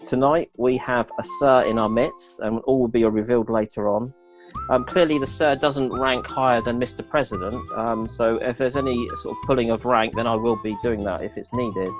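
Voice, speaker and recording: Music plays behind a man speaking at a moderate pace. His voice sits at medium pitch with ordinary variation. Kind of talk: meeting host welcome. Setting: online video call. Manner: casual, humorous.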